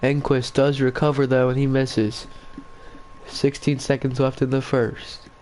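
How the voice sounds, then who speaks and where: A man with an American accent, monotone and flat in intonation, over noticeable background noise. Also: very even loudness. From Virginia. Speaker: video game commentator. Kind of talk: live commentary.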